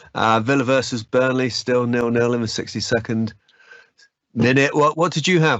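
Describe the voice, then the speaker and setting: A man with a northern English accent, fairly quick pace and ordinary pitch variation. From northern England. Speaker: user group host. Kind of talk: casual chat.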